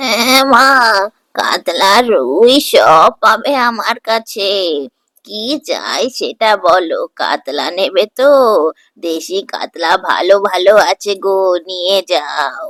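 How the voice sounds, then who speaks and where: A cartoonish character voice, female-sounding, at a medium pitch and very slow pace. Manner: chatty, motherly.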